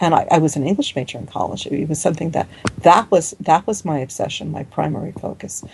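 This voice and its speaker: A woman rattles off her words very fast while noticeable noise fills the background. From US Northeast, New York City and New Jersey. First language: Hungarian. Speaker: folklorist and author. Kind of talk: interview. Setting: video call. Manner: halting, many restarts.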